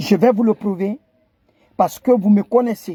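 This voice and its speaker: A man with a Guinean accent speaks at a high pitch in a dark, mellow tone. His pitch variation is ordinary, and the sound is dry and close with no echo. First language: Kissi (speaking French). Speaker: online commentator. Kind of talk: impassioned video address. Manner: halting, repetitive stammering; impassioned.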